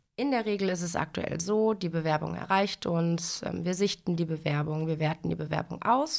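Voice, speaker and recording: An unremarkable speaking voice from a woman, fairly low in pitch with ordinary pitch variation, at a fairly slow pace on a very clean recording with a silent background. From western Germany, Lower Rhine (Dinslaken). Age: 30s. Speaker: bank training manager. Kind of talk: interview on a corporate podcast.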